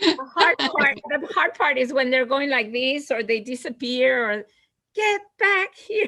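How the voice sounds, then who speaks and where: A woman's raised, projected voice sits at a high pitch and moves fairly slowly, with very wide pitch swings. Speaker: retiring teacher. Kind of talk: casual chat. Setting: video call. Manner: loud.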